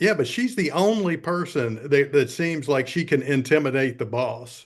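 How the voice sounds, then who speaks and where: A man with a Southern US accent talks at a fairly high pitch with lively intonation against a quiet background. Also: moderate pace. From US South. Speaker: film review podcast co-host. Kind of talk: casual chat.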